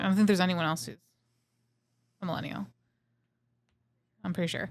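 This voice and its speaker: Talking at a very fast pace, a woman shows big swings in loudness. Her fairly low voice has ordinary pitch variation. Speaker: podcast co-host. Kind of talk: casual chat.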